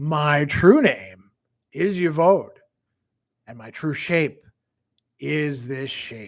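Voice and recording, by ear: A man's put-on character voice, husky, hissing and fairly high, at a very slow pace with long, frequent pauses, over a very clean recording and silent background.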